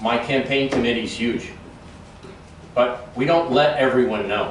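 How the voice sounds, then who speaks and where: The speech has fairly even intonation, with audible room echo and noticeable background noise. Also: man, medium pitch for a man. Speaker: political candidate. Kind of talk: campaign speech with audience questions. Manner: fast.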